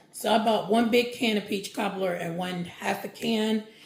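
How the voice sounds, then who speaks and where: Noticeable background noise sits behind a woman whose moderate delivery carries ordinary pitch variation. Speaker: lifestyle vlogger. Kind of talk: casual vlog chat. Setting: at home with window open. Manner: loud.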